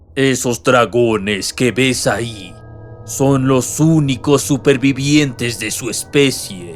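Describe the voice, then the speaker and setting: Over clear music in the background, a man bellows in a gruff, put-on character voice. He goes at a very slow pace with medium pitch. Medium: read story. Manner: gruff, sarcastic, roaring.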